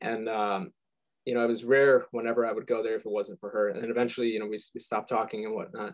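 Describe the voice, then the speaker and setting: Speaking at a very fast pace, a man with a medium pitch talks in an American accent. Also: ordinary pitch variation. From Michigan, US. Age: 20s. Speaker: musician. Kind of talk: interview. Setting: video call. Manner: halting, stuttering.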